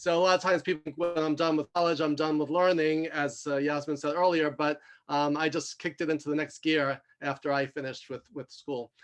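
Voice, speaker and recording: A man speaks at a fairly quick pace with a fairly high pitch and monotone, flat intonation. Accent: New York. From New York. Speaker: executive coach and mentor. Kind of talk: self-introduction in video call roundtable. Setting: video call. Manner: fast.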